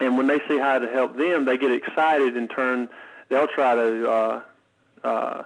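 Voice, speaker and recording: Against a quiet background, a man with a medium-pitched voice speaks at a moderate pace. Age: 30s. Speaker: financial software sales agent. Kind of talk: interview. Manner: halting.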